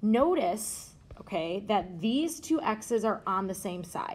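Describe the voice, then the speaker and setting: Her voice has a somewhat breathy quality. The woman talks at a fairly slow pace. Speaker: math teacher. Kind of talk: tutorial. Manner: casual.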